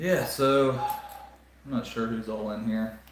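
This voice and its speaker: There is noticeable background noise and audible room echo as a man of medium pitch speaks in a Southern US accent. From US South, South Carolina. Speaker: Lego live streamer. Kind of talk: casual chat. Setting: live stream. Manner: halting, many fillers.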